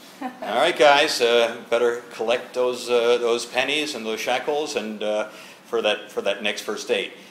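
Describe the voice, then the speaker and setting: At a fairly slow pace, a man speaks with medium pitch and fairly even intonation. Audible room echo and light background noise are present. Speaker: interviewer. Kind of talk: interview host questions. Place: home room.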